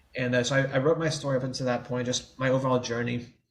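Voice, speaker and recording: In an American accent, a man of medium pitch sounds somewhat breathy, with a monotone, flat intonation. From New Orleans area, Louisiana, US. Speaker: writer, person who stutters. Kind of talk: podcast interview answer.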